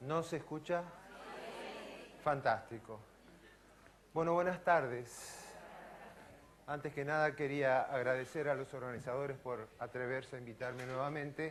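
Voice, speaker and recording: In a Rioplatense accent, a man with a fairly high pitch speaks at a fairly slow pace with fairly even intonation and long, frequent pauses, with audible room echo. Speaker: physician and professor. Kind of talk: lecture.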